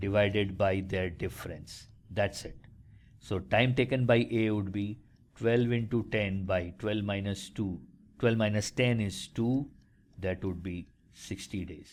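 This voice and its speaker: In a normal speaking voice, a man speaks at a fairly slow pace with fairly low pitch and ordinary pitch variation, on a very clean recording with a silent background. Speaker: maths aptitude tutor. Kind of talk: tutorial.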